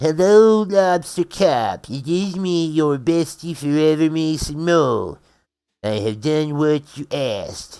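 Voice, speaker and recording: At a fairly slow pace, a man does a put-on character voice with a fairly high pitch, captured on a very clean recording over a silent background. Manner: friendly, chummy.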